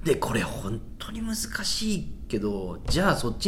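His fairly high voice makes very wide pitch swings, with audible room echo and noticeable background noise behind the man. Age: 30s. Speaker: stand-up comedian and podcast host. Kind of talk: casual chat.

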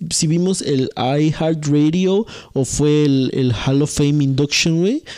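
Dark, mellow tone with a Mexican accent and ordinary pitch variation. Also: man. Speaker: podcast co-host. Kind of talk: casual chat.

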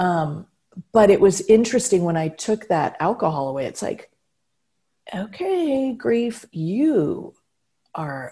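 A woman's medium-pitched, somewhat breathy voice with a dark, mellow tone, very wide pitch swings, big swings in loudness, a very slow pace and long, frequent pauses. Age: 50s. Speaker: speaker and humor strategist. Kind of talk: casual chat.

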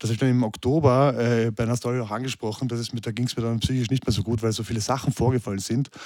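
With hardly any pauses, the speech races along at a very fast pace in a monotone, flat delivery. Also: man, medium pitch for a man. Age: 30s. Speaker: fitness trainer and social media personality. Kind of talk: casual interview chat.

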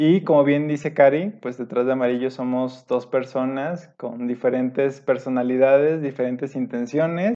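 Delivered at a moderate pace with hardly any pauses, a normal speaking voice keeps a fairly even intonation. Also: man. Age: 30s. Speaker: podcast co-host, industrial engineer. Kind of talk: casual chat.

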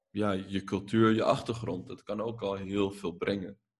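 A man talks at a fairly slow pace with vocal fry. His intonation stays fairly even. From Netherlands. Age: 20s. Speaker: filmmaker and journalist. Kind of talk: casual podcast interview.

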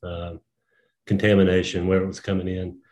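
A man with a fairly low pitch speaks in an ordinary speaking voice. The background is quiet. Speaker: brewer. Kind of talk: casual interview.

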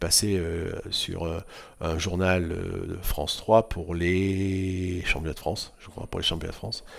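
This very clean recording, with a silent background, captures a man speaking at a fairly low pitch. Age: 60s. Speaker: water-ski club president. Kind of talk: casual chat. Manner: halting.

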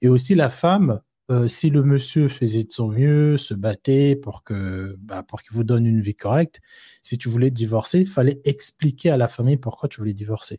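A man's medium-pitched, somewhat breathy voice with a dark, mellow tone, moderate pace and big swings in loudness, dry and close with no echo. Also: ordinary pitch variation. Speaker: co-host. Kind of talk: casual live chat. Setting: online livestream.

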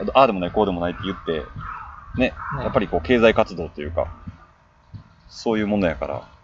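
Very fast speech from a man with a fairly low pitch, ordinary pitch variation, big swings in loudness, and long, frequent pauses. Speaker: music fan guest. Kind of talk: casual chat.

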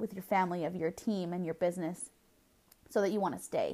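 This clip features a woman. Its background is silent and the recording very clean. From Southern California. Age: 20s. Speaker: podcast host, network marketer. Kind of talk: solo podcast monologue.

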